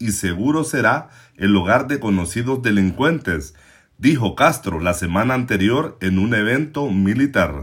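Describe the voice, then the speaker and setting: Over a silent background on a very clean recording, a man with an ordinary speaking voice talks fairly slowly at a medium pitch, his intonation lively. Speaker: news podcast host. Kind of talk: scripted news commentary. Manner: formal.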